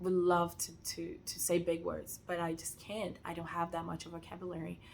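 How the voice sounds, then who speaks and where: A woman with a Portuguese accent speaks at a fairly low pitch. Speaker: sewing content creator. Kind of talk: casual rant. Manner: hesitant, many fillers.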